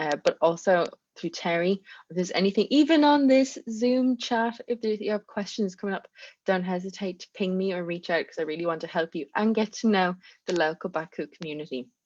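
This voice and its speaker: A woman with a strong Irish accent talks at a fairly quick pace in a medium pitch and lively intonation, her voice dry and close with no echo against a quiet background. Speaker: community manager. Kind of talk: online presentation. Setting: video call.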